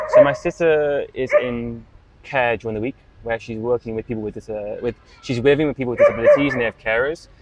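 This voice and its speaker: A man talks at a very fast pace, his pitch medium and his loudness swinging widely. The sound is dry and close with no echo, over noticeable background noise. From northern England, Manchester area. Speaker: fitness coach. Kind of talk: casual chat. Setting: outdoors. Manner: halting.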